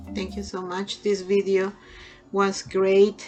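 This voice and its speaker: A woman with a Peruvian accent speaks at a medium pitch. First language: Spanish. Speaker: nursing lecturer. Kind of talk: lecture. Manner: halting with fillers.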